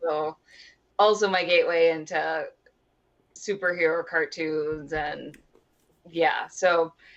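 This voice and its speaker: A woman with a Midwestern accent, fairly low in pitch, with fairly even intonation, a very slow pace and long, frequent pauses. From US Midwest, Wisconsin. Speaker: cosplayer, comic fan. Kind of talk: casual chat.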